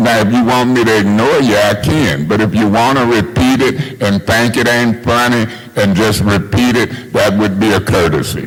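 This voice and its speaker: Speaking at a moderate pace with hardly any pauses, a man keeps a medium pitch, ordinary pitch variation, and very even loudness amid noticeable background noise and audible room echo. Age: 60s. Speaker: city council member. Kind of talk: heated debate. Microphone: far from the mic.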